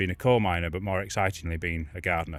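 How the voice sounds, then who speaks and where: A man with a Yorkshire accent at a very fast pace, in a very clean recording with a silent background. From northern England, Yorkshire Dales. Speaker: garden designer. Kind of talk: casual interview.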